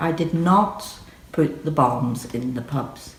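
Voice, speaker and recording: Speaking with a Northern Irish accent, a woman has a very deep, low pitch. Her pitch variation is ordinary. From Northern Ireland. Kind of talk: personal testimony to camera.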